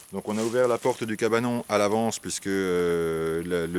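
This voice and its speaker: This man's fairly low voice holds a fairly even intonation. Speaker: wasp nest removal specialist. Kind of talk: tutorial. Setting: outdoors. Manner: hesitant, many fillers.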